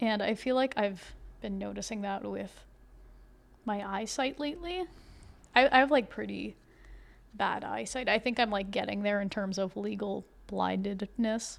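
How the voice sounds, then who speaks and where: With long, frequent pauses, a soft-spoken woman keeps a moderate pace. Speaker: crafting video creator. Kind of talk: casual chat. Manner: halting.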